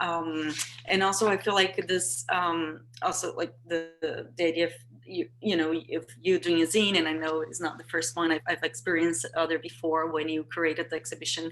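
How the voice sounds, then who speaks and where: Speaking with a Portuguese accent, a woman uses a fairly low pitch with ordinary pitch variation. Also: moderate pace. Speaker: artist. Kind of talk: panel discussion. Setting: video call. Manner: halting, many fillers and repetitions.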